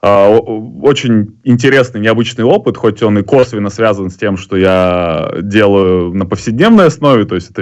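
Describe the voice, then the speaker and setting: A man's fairly low voice at a moderate pace. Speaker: poker player and live tournament commentator. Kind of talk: casual chat. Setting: video call.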